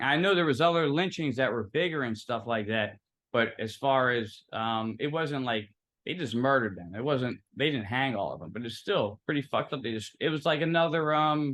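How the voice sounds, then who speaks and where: A man with a Philadelphia accent, medium pitch, lively intonation and a moderate pace. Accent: Philadelphia American. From Philadelphia, US. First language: Italian. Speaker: guest, social media personality. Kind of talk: interview, casual chat.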